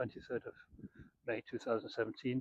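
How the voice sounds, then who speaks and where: A man is speaking. He has a Scottish accent. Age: 60s. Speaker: property developer. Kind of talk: casual talk to camera. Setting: outdoors by the beach. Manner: hesitant, many fillers.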